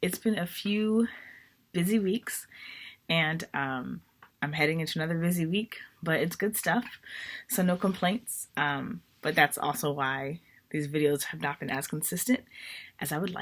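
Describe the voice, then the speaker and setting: Using a put-on character voice, a woman talks in a raspy, fairly low pitch with lively intonation at a moderate pace, leaving long, frequent pauses, on a very clean recording with a silent background. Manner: subdued, tired, casual.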